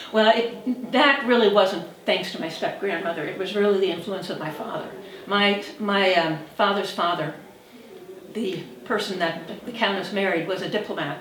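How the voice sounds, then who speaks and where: Noticeable background noise and audible room echo accompany a woman at a medium pitch. She keeps a moderate pace with ordinary pitch variation. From US Northeast, New York City (Manhattan). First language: Hungarian and French. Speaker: interviewee recalling family memories. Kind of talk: interview. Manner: conversational with fillers.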